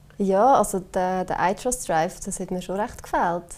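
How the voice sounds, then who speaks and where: A woman speaks with fairly even intonation. Her tone is dark and mellow. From Switzerland, Obwalden. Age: 20s. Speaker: company marketing employee, digital nomad. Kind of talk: casual interview.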